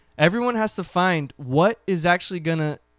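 A man speaks with lively intonation. The sound is dry and close, with no echo. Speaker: clothing brand founder. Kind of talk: casual chat.

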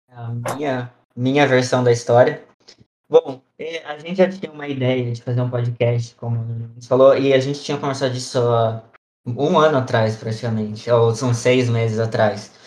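An unremarkable speaking voice from a man at medium pitch, moderate in pace, with fairly even intonation and big swings in loudness. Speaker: podcast host, missionary trainee. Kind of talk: casual chat.

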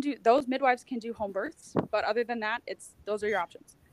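A woman with an American accent has a plain, everyday voice, fairly high in pitch with ordinary pitch variation, recorded dry and close with no echo. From United States. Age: 20s. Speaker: mother sharing birth story. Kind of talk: casual interview.

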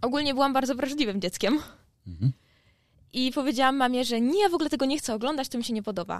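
A woman speaks at a high pitch and a very fast pace, with ordinary pitch variation. The recording is very clean against a silent background. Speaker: university student. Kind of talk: class presentation.

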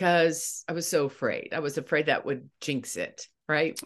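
An ordinary speaking voice at a moderate pace over a quiet background. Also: woman. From eastern Ohio. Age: 60s. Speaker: former news anchor and grief coach. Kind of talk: casual interview.

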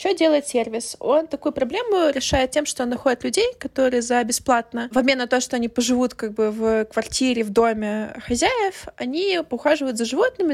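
A woman talks fairly quickly at a high pitch with ordinary pitch variation. The sound is dry and close, with no echo. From Ukraine. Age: 20s. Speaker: podcast host. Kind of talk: casual chat.

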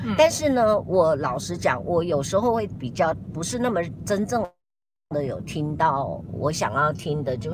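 Somewhat breathy and very deep, low in pitch, a woman speaks at a moderate pace with very wide pitch swings. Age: 60s. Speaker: YouTuber host. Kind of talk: casual live-stream chat. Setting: in a car, driving.

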